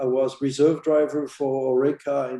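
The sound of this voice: A man's medium-pitched voice, dark and mellow in tone, with little pitch movement and a moderate pace.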